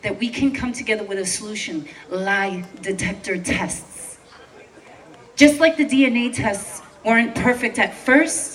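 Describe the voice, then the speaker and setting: Over noticeable background noise, a woman with a New York accent speaks at a fairly slow pace in a high voice with lively intonation. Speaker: protest speaker, veteran. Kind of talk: protest speech. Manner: impassioned.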